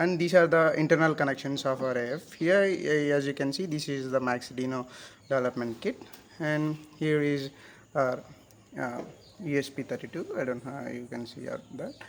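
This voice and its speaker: With an Indian accent, a man speaks at a moderate pace. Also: fairly high pitch for a man, ordinary pitch variation. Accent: Indian English, Telugu. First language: Telugu. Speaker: hobbyist electronics maker. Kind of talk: tutorial. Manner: halting.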